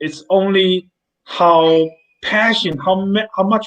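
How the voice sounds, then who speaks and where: Here a man speaks with a Chinese accent. His pitch is high. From mainland China. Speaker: company CEO. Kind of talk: interview. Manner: halting, repeats words.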